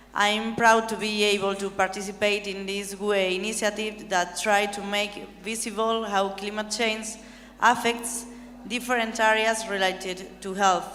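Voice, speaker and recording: Spoken at a fairly slow pace in a non-native accent, the monotone, flat delivery carries audible room echo. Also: woman, medium pitch for a woman. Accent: non-native English speaker. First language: not English. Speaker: European Parliament member. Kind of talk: conference speech. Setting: conference hall with audience.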